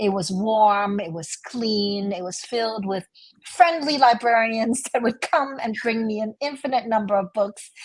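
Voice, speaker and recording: Fairly high-pitched, somewhat breathy female voice at a fairly slow pace, with ordinary pitch variation and big swings in loudness. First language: Chinese. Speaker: novelist. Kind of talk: interview conversation.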